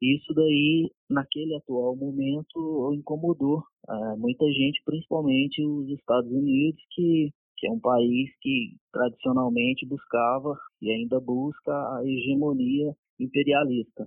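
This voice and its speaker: Fairly even intonation accompanies speech delivered at a fairly slow pace. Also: man, fairly high pitch for a man. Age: 30s. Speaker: police officer. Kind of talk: interview. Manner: halting.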